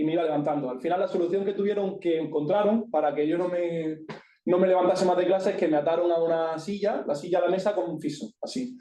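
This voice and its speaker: A man with an Andalusian accent talks in a high pitch with ordinary pitch variation. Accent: Granada. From Andalusia, Spain (Granada). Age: 20s. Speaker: speaker sharing personal experience with ADHD. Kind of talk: talk to an audience. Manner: informal, with many fillers.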